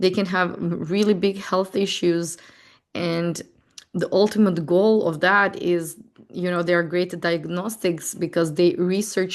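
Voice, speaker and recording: The speaker has a non-native accent and a fairly slow pace. Intonation stays fairly even. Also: woman. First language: not English. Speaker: astrology and tarot teacher. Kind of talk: casual correction note; webinar lecture. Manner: halting, slow word finding.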